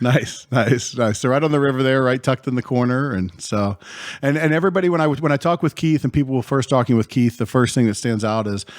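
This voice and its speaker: Talking very fast, a man uses a medium pitch and ordinary pitch variation. The sound is dry and close, with no echo. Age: 40s. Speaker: podcast host. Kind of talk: casual chat.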